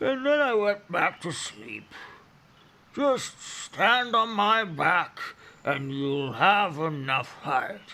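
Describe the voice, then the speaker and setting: Using a put-on character voice, a man speaks at a very slow pace in a high pitch. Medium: read story. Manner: drowsy, rumbling.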